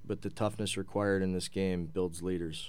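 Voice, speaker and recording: A man with a fairly low pitch talks at a moderate pace in a monotone, flat delivery. Room echo is audible. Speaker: hockey head coach. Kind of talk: casual interview.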